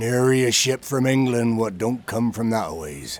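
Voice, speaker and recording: A man puts on a character voice, medium in pitch, and delivers it at a moderate pace. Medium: audio drama. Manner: rough, dialect speech.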